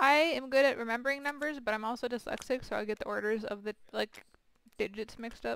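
A woman with a high pitch talks at a very fast pace, with ordinary pitch variation. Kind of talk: casual gaming chat. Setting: video call. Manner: casual, profane.

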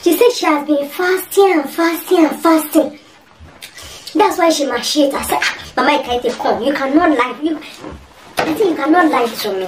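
Using a put-on character voice, a woman speaks high in pitch with lively intonation. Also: moderate pace. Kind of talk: comic overacting. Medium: comedy sketch. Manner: expressive, emphatic.

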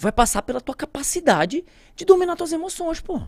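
This man talks at a fairly quick pace. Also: dry, close sound with no echo. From Santarém, Pará, Brazilian Amazon. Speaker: pilot and plane crash survivor. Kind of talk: casual interview storytelling.

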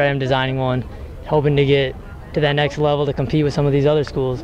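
Noticeable background noise sits under a man's voice, which has a dry sound with no echo. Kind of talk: interview answer. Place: street. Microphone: handheld.

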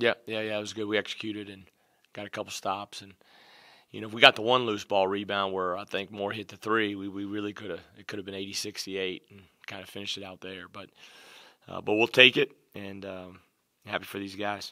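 The speaker talks at a fairly quick pace in a monotone, flat delivery over a quiet background. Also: man. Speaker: basketball head coach. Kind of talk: interview answer. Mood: calm, pleased after win. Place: meeting room. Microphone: podium.

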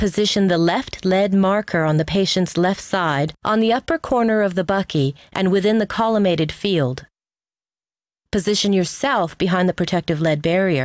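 A woman with an ordinary speaking voice talks at a moderate pace in a medium pitch, with ordinary pitch variation and very even loudness, recorded dry and close with no echo against a quiet background. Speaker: instructional video narrator. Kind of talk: scripted narration. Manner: formal.

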